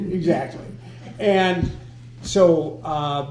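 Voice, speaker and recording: A man's fairly high-pitched voice, with audible room echo. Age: 80s+. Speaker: former local politician. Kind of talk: casual group discussion.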